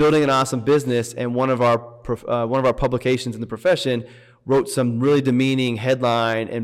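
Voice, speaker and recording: A man with an American accent and a medium pitch speaks at a fairly quick pace with fairly even intonation. He has a normal speaking voice, heard in a very clean recording with a silent background. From US Midwest (Indiana). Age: 40s. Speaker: financial advisor and business founder. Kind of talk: casual chat.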